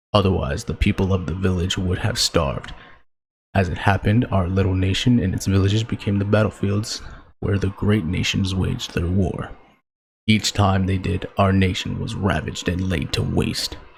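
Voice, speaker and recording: In a put-on character voice, a man speaks at a moderate pace in a raspy, very deep, low pitch. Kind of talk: dramatic anime monologue.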